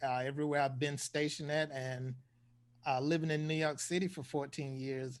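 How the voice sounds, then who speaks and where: There is a quiet background behind this man. He speaks with a fairly high pitch and monotone, flat intonation. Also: fairly quick pace. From US South, eastern North Carolina. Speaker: air force veteran, co-host. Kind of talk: casual interview chat.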